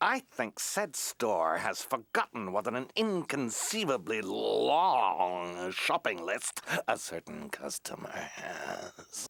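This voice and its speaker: In a pompous, cartoonish character voice, the speaker drawls very slowly with hardly any pauses. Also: man, medium pitch for a man. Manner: pompous, formal.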